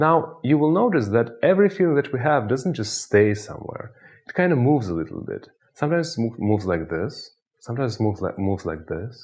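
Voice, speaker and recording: A somewhat breathy man with a Russian accent, medium pitch, very wide pitch swings and a very fast pace. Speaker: hypnotist. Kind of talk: tutorial with guided hypnosis exercise.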